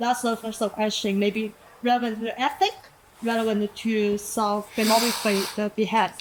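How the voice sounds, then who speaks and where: A woman with a non-native accent speaks at a moderate pace in a fairly high pitch, her intonation monotone and flat, over noticeable background noise. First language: not English. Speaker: audience member asking a question. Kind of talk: audience question. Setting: live event with audience. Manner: halting.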